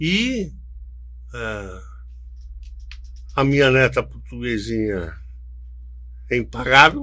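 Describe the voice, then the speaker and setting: Very deep and low, this man's voice moves at a very slow pace with long, frequent pauses. His pitch swings very widely. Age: 70s. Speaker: events business executive. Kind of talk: podcast interview. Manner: halting.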